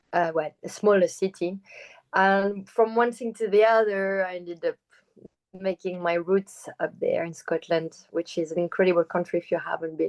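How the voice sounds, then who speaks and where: Dry and close with no echo, a woman's voice comes at a medium pitch with fairly even intonation and a French accent. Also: moderate pace. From France. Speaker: choreographer and performer. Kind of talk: interview.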